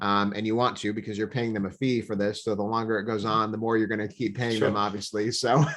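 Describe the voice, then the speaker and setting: In an American accent, a man speaks very fast in a fairly low, flat, monotone voice, with hardly any pauses. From Nebraska. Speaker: leadership author and coach. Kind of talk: podcast interview answer. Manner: casual, hesitant with fillers.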